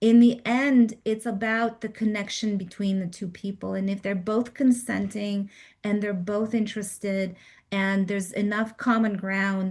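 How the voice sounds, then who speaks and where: A woman speaks at a fairly slow pace in a medium pitch, somewhat breathy. Her intonation is monotone and flat over a quiet background. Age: 50s. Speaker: dating coach. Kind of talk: group coaching call.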